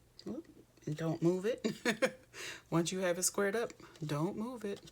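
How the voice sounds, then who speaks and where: A woman with an unremarkable speaking voice talks at a moderate pace and medium pitch with ordinary pitch variation. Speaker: craft demonstrator. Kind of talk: tutorial. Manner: casual, friendly.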